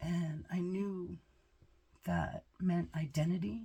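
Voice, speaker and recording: A woman's somewhat breathy, dark, mellow voice at a fairly low pitch with ordinary pitch variation. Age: 60s. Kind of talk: casual talk to camera.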